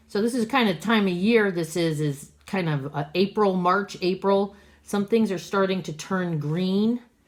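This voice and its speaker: A woman's unremarkable speaking voice at a medium pitch, with ordinary pitch variation and a fairly slow pace, on a very clean recording with a silent background. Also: hardly any pauses. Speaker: art teacher. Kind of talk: tutorial.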